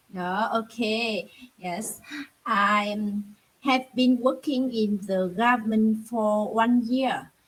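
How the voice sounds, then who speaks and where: A somewhat breathy voice with a Vietnamese accent, fairly even intonation and a very slow pace. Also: woman. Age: 30s. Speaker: English learner, government employee. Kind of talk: online English conversation practice. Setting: video call. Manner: halting, many fillers.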